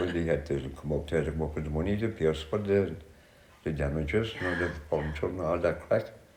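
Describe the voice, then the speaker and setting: Over noticeable background noise, a man with a very deep, low voice talks very fast in a fairly even intonation. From County Cork, Ireland. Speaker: social housing resident. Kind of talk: interview answer.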